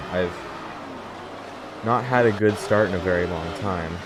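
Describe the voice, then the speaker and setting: Over music in the background, a man talks in a relaxed tone with lively intonation. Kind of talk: gameplay commentary voiceover. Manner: casual, relaxed.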